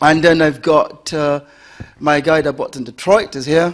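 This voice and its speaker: A fairly high-pitched man in a British accent, talking at a fairly slow pace. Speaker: property investment seminar presenter. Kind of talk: seminar presentation. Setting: stage with audience.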